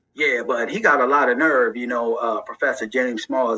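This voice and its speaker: Noticeable background noise can be heard. The speech moves at a fairly quick pace. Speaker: political commentary video maker. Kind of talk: reaction commentary. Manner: casual, filler-heavy.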